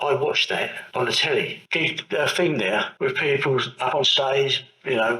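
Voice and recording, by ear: A bright, sharp tone rings out with audible room echo. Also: man.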